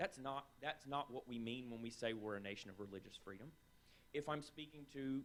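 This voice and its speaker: A man talks with a strong Southern US accent and ordinary pitch variation. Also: medium pitch for a man. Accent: strong Southern drawl. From North Carolina, US South. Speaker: writer and scholar of the Middle East. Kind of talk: panel discussion.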